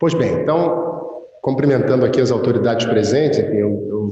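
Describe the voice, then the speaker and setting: Somewhat breathy, the voice moves at a fairly quick pace in a Brazilian accent. There is audible room echo. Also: man. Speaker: conference speaker, data protection officer. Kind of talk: conference talk. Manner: hesitant, many fillers.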